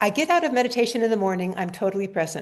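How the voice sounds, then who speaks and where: Here a woman with a fairly high pitch speaks with lively intonation. The background is quiet. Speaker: neuroscientist. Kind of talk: interview. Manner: fast.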